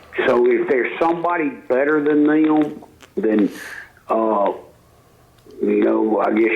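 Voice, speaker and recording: Speaking at a fairly slow pace with a Mississippi accent, a man is heard through audible room echo and noticeable background noise. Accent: Mississippi Southern US. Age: 60s. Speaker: football coach. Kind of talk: sports radio interview.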